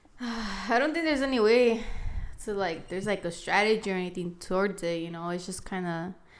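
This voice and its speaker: A woman with a medium-pitched voice talks with lively intonation, and noticeable background noise can be heard. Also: fairly quick pace. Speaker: co-host and roommate. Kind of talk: casual chat.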